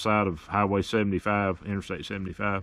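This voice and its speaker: Here is a man with a Tennessee accent. His pitch is fairly low. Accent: Southern, Tennessee. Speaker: history video host and ham radio operator. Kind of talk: casual narration and ham radio contact. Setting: outdoors, portable radio at campsite. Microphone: good signal.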